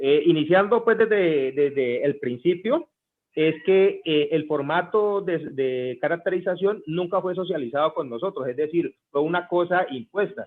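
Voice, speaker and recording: A man talks at a high pitch. His pace is fairly slow. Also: ordinary pitch variation. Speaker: street vendor leader. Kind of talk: group meeting discussion. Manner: halting.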